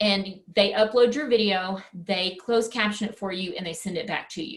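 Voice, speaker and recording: At a moderate pace and medium pitch, a woman with a West Texas accent talks with ordinary pitch variation and big swings in loudness. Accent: West Texas twang. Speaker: presenter for teachers. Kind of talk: webinar presentation. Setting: online webinar.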